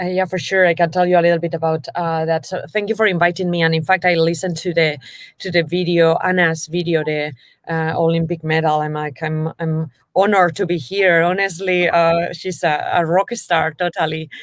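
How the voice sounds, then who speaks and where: A woman's fairly low, flat monotone in a Spanish accent at a fairly quick pace. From Basque Country, northern Spain. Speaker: venture capital investor. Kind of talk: interview.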